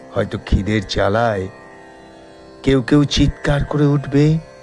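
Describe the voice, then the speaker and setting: The intonation here is lively. Background music can be heard. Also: man. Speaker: poetry reciter. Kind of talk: poetry reading.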